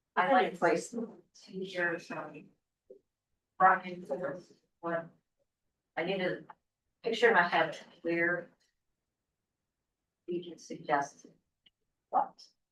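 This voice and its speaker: Soft-spoken and fairly low in pitch, a woman talks at a very slow pace. Her speech has long, frequent pauses. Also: ordinary pitch variation, big swings in loudness. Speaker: city council member. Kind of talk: public meeting discussion. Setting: city council meeting.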